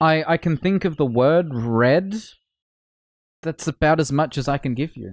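In an Australian accent, the speaker goes at a fairly slow pace with ordinary pitch variation and long, frequent pauses, in a dry sound with no echo and a quiet background. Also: man. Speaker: gaming streamer. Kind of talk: casual chat. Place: home room. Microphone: studio mic.

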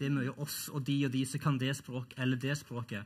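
The man talks at a medium, moderate speed. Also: quiet background. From Norway. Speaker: professor. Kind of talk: panel debate. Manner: halting, repeats words. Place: stage. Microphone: headset.

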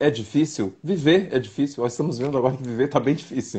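This man speaks in a dark, mellow tone with ordinary pitch variation. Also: quiet background. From southern Brazil, Santa Maria, Rio Grande do Sul; Rio Grande do Sul, Brazil. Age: 50s. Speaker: actor. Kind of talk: casual interview. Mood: warm, animated storytelling. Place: home room. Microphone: video call.

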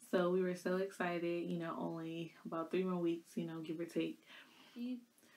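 Here is a woman with a fairly low pitch. Her tone is dark and mellow. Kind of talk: casual vlog storytelling. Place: home room. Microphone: phone near.

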